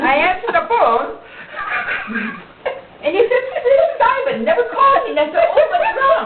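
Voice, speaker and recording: Noticeable background noise runs under a woman speaking with an American accent. Her pitch swings very widely, and her pace is fairly slow. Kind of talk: casual family storytelling.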